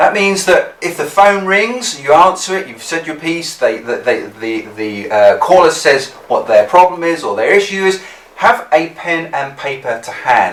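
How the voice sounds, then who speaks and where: A man with an English accent speaks at a fairly slow pace over noticeable background noise. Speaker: business skills instructor. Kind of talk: tutorial.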